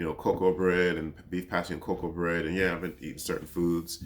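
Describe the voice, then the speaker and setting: His pace is fairly quick. The man's voice sits at a very deep, low pitch. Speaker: podcast host. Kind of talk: casual monologue.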